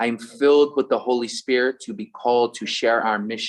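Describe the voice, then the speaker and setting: A strong Philadelphia accent at a moderate pace over a quiet background. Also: man. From US, Philadelphia. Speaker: religious brother, event co-host. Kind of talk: closing remarks of online event. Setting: Zoom call.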